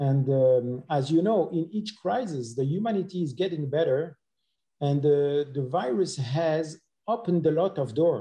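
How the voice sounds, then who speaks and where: With a French accent and a fairly high pitch, a man talks at a moderate pace. His voice is somewhat breathy, with lively intonation. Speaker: dentist presenting clinical cases. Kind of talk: webinar presentation. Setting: online webinar.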